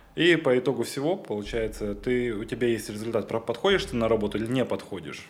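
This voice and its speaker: A man of medium pitch at a very fast pace, lively intonation and hardly any pauses. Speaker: air traffic controller. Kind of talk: casual chat.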